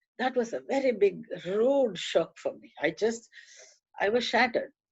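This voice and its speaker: A woman's voice with vocal fry at a moderate pace. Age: 70s. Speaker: author and activist. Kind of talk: talk to a club audience. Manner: hesitant, with fillers.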